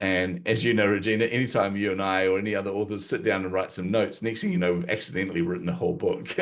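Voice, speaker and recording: Hardly pausing, a man with a New Zealand accent and a fairly low pitch talks at a very fast pace with ordinary pitch variation. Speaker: marketing coach and author. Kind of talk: interview conversation.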